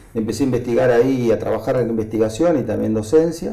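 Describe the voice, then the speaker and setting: Talking at a very fast pace, a man with a medium pitch shows ordinary pitch variation, and the room echo is audible. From Argentina, Buenos Aires city. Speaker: agronomist and agribusiness association president. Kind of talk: interview. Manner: hesitant, filler-heavy.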